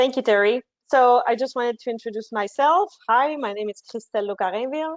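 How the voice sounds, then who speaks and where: In a Quebec accent, a woman with a high pitch talks at a fairly quick pace with ordinary pitch variation. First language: French. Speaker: marketing manager. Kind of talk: webinar presentation.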